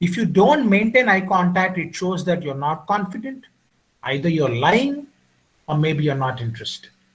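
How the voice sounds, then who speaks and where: A man with an Indian accent speaks at a high pitch with very wide pitch swings. His delivery is broken by long, frequent pauses. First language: Indian language (not English). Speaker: communication skills trainer. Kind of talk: lecture.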